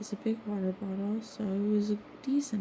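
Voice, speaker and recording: A woman with a medium pitch speaks fairly slowly over noticeable background noise. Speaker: vlogger painting on stream. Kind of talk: casual monologue. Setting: at home.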